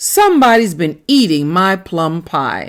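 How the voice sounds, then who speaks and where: A woman does a put-on character voice at a medium pitch and a fairly slow pace, recorded very cleanly against a silent background. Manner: growling, indignant.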